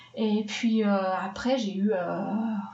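A woman speaks in a monotone with flat intonation. Audible room echo and noticeable background noise fill the recording. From Switzerland, Swiss Jura. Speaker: film composer. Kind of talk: interview.

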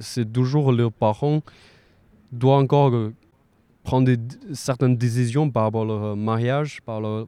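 A man's medium-pitched voice with a dark, mellow tone and a Chinese accent, fairly even intonation and a fairly slow pace, on a very clean recording with a silent background. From China. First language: Mandarin Chinese (speaking French). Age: 20s. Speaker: student. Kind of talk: casual interview. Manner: halting, frequent repetitions.

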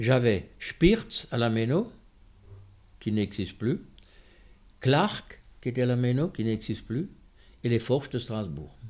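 At a very slow pace with long, frequent pauses, a man speaks at a medium pitch with lively intonation. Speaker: worker-priest and trade unionist. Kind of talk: testimony.

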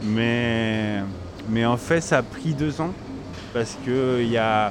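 A man with a Spanish accent, ordinary pitch variation, and noticeable background noise. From Chile. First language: Spanish (speaking French). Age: 30s. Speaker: grocery shop owner. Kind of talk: interview. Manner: halting, repeats words.

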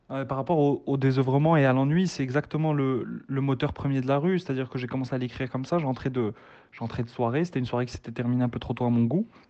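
A man's medium-pitched voice at a very fast pace, with fairly even intonation and hardly any pauses. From Morocco. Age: 20s. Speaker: author and doctor. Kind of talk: interview. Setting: remote call. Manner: halting.

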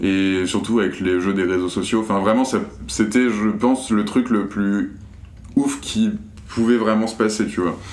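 A man with a fairly low voice speaks at a fairly slow pace, leaving long, frequent pauses, with ordinary pitch variation and audible room echo. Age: 20s. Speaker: media co-founder. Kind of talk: casual interview.

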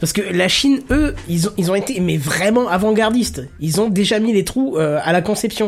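A man talks in a high voice at a moderate pace, his tone animated and his intonation lively. Background noise is noticeable. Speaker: podcast host. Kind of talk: casual tech podcast chat. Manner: animated, joking.

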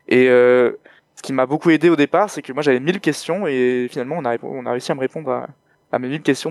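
A man's medium-pitched voice at a very fast pace, with fairly even intonation and a dry, close sound with no echo. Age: 20s. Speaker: podcaster. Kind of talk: interview. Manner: halting.

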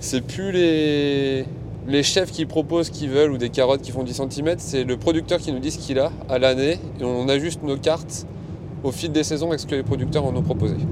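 A man talks at a moderate pace in a fairly high voice with ordinary pitch variation while noticeable background noise carries on. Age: 30s. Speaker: restaurant worker, sourcing producers. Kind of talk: casual interview. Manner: hesitant, many fillers.

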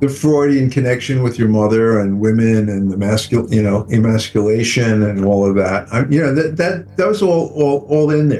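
Noticeable background noise surrounds a man speaking at medium pitch and a very slow pace, with hardly any pauses. His intonation is lively and his loudness very even. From United States. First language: English (speaking French). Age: 70s. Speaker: film director. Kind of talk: interview. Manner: halting.

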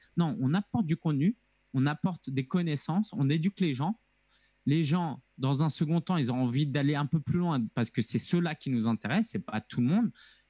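In a very clean recording with a silent background and a dry, close sound free of echo, a man with a fairly high pitch talks at a moderate pace in a dark, mellow, somewhat breathy tone with lively intonation. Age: 30s. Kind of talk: interview conversation.

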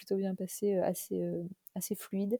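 A woman's somewhat breathy, medium-pitched voice with a dark, mellow tone, in a dry, close sound with no echo. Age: 30s. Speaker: vintage clothing shop founder. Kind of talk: interview. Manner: hesitant, many fillers.

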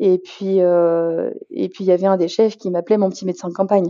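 A woman is talking. Her pace is fairly quick. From Paris region, rural Beauce. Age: 30s. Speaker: general practitioner. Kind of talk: interview. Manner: halting.

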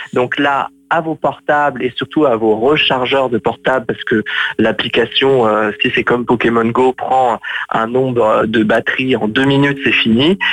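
A man with a plain, everyday voice and medium pitch talks at a fairly slow pace with fairly even intonation. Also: very even loudness. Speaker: film blogger co-host. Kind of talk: casual chat. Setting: phone call. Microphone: phone line.

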